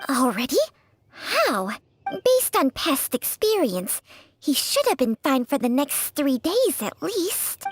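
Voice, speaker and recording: A female-sounding put-on character voice is pitched high. It moves at a fairly slow pace. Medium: video game. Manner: tart, imperious.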